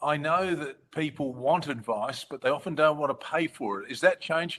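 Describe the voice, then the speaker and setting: A man with an Australian accent, fairly high-pitched, with ordinary pitch variation and a moderate pace. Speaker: advocacy organisation host. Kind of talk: webinar moderation.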